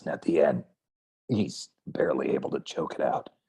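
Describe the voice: The voice has a raspy quality and is a put-on character voice. Its pace is moderate. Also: man, extremely high pitch for a man.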